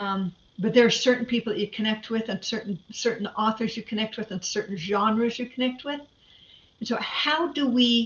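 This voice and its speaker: A woman talks in a fairly high pitch, her voice somewhat breathy. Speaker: conference presenter. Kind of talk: lecture. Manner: fast.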